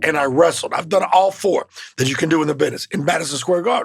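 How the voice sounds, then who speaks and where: A man with a Southern accent speaks in a high, animated voice. Noticeable background noise runs underneath. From Mississippi. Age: 50s. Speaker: professional wrestler. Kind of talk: interview.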